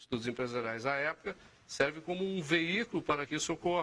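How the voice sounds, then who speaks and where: This man has a fairly high pitch. His voice moves through very wide pitch swings. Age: 60s. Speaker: think tank founder. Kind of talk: TV interview.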